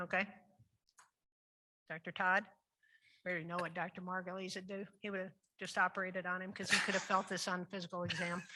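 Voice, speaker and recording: A very fast, bright, sharp voice in a Midwestern US accent, with monotone, flat intonation and long, frequent pauses. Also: woman, medium pitch for a woman. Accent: US Midwest. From Iowa. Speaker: surgeon, panel moderator. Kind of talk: case presentation panel discussion.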